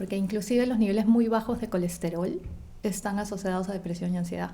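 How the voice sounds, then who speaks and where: This is a woman's voice. She speaks very fast. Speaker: nutritionist. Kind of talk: interview.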